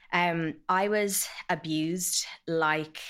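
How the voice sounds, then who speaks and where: A woman with a Dublin accent speaks on a very clean recording with a silent background. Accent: Dublin Irish. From Ireland, Dublin. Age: 30s. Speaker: abuse survivor. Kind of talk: testimony. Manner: hesitant, frequent 'um' fillers.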